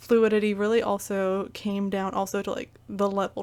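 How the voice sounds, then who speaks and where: A woman's medium-pitched voice in a Midwestern US accent, flat and monotone at a moderate pace, in a very clean recording with a silent background. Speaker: gaming YouTuber. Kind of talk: casual video game recap monologue. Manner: hesitant, many fillers.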